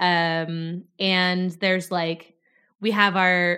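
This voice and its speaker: In a very clean recording with a silent background, a woman talks at a medium pitch. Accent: American. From North Dakota, US. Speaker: PhD student in fat studies. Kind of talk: casual chat.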